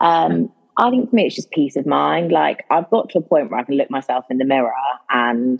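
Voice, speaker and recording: Someone talks at a moderate pace while music plays in the background. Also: woman. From Jersey. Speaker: podcast guest sharing sobriety story. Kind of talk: casual interview chat. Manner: warm and articulate.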